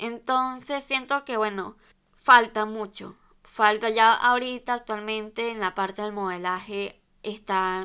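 A woman's bright, sharp voice at a very slow pace, fairly even in intonation, on a very clean recording with a silent background. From Venezuela. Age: 20s. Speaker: fashion podcaster. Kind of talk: casual solo monologue.

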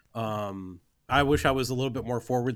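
A man with an American accent speaks at a medium pitch with fairly even intonation. The recording is very clean with a silent background. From California suburbs, US. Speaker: film producer. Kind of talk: interview.

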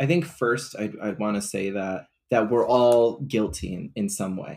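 A man with an unremarkable speaking voice talks at a fairly slow pace and fairly low pitch. The recording is very clean, with a silent background. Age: 20s. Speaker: counselor and social media advocate. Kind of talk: casual chat.

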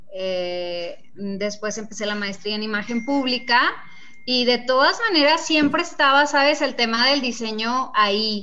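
Audible room echo carries a woman's fairly high-pitched voice as she speaks at a fairly slow pace with lively intonation. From Mexico, Nuevo Casas Grandes, Chihuahua. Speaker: fashion designer and entrepreneur. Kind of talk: interview.

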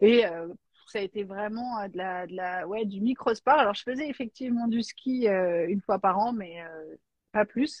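A woman with a normal speaking voice talks at a fairly slow pace, her pitch medium. Her loudness swings widely, while her pitch varies in an ordinary way. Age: 40s. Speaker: life coach. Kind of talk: casual chat.

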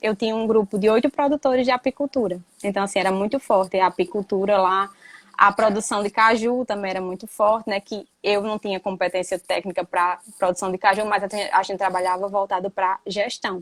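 Talking at a fairly quick pace, a woman has an ordinary speaking voice, medium pitch and fairly even intonation. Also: dry, close sound with no echo. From Brazilian Northeast, Rio Grande do Norte backlands. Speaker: university professor. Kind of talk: online live talk, interview. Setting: live stream.

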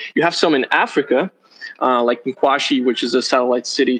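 Speaking with a Brazilian accent, a man holds a medium pitch and fairly even intonation. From southern Brazil. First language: Portuguese. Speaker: startup executive. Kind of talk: interview.

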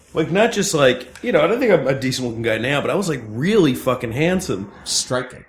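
A man's medium-pitched voice with an American accent, lively intonation, a fairly quick pace, hardly any pauses and noticeable background noise. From New Jersey. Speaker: stand-up comedian. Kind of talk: casual chat. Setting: studio.

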